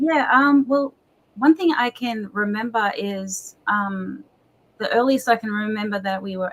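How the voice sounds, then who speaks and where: Speaking with an Australian accent, a woman uses a fairly high pitch and ordinary pitch variation. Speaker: pastor. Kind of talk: interview.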